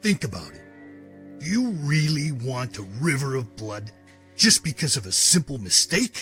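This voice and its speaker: Faint music plays behind a man doing a put-on character voice at a moderate pace. His fairly high pitch moves in very wide swings. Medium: audio drama. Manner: calm, measured.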